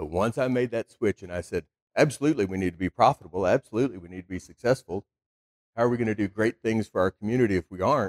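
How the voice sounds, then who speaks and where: Talking at a very fast pace with a Texan accent, a man uses a fairly low pitch and ordinary pitch variation in a dry, close sound with no echo. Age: 40s. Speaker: car dealer. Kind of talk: speech.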